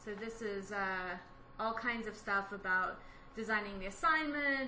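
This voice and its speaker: A woman with an American accent speaks fairly slowly at a fairly high pitch. Noticeable background noise and audible room echo fill the recording. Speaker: educational technology staff, workshop presenter. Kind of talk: workshop presentation. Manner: casual, with many fillers.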